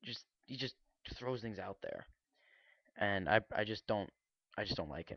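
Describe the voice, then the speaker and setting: Using a fairly low pitch with vocal fry, a man speaks at a moderate pace with ordinary pitch variation. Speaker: vlogger. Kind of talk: casual commentary. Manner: halting, unscripted.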